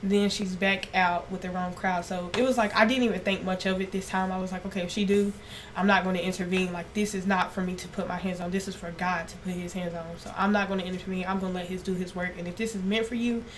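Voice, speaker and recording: A woman's very fast, nearly pauseless medium-pitched voice, monotone and flat, with audible room echo and noticeable background noise. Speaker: esthetician. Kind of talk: podcast interview. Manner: naturally loud.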